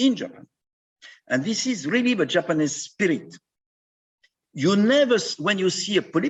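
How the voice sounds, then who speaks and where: Talking at a very fast pace with a French accent, a man swings his pitch very widely. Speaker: endoscopist. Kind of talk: conference talk conversation.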